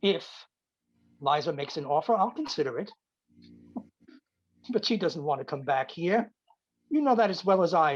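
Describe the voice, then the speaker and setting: A man puts on a gruff character voice, high in pitch, with very wide pitch swings. He keeps a moderate pace broken by long, frequent pauses. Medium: stage play. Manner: gruff, curt, grumbling.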